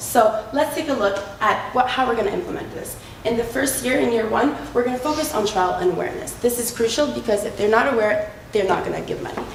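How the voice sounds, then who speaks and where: A woman speaks at a moderate pace with lively intonation and a fairly high pitch. The recording has audible room echo and noticeable background noise. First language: not French (French is second language). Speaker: business student in case competition. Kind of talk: case competition presentation.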